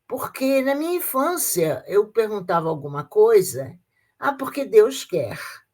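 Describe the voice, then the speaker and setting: Somewhat breathy and fairly high, a woman's voice moves at a fairly slow pace with very wide pitch swings. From Brazil, Rio de Janeiro. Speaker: retired teacher, Freemason. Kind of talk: interview testimony. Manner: halting, with repetitions.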